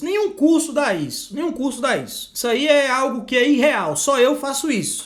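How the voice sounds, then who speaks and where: Loud and at an extremely high pitch, a man talks at a fairly slow pace with ordinary pitch variation. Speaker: law exam prep teacher. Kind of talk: live online lecture; sales pitch. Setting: livestream.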